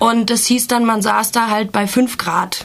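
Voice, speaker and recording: A woman's monotone, flat delivery at a fairly slow pace, over noticeable background noise. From Germany. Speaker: activist. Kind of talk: interview. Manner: hesitant, many filler sounds.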